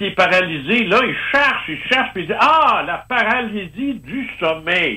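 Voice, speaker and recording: With a Quebec accent, a man uses a raised, projected voice that is bright and sharp, moving at a very slow pace with lively intonation. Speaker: ufologist. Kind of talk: casual interview. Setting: phone call.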